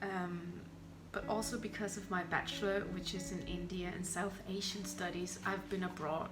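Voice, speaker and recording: In a Danish accent, a woman speaks at a moderate pace with a fairly low pitch and monotone, flat intonation. Room echo is audible amid noticeable background noise. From southern Denmark, near Germany. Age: 20s. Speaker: university student. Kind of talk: casual interview.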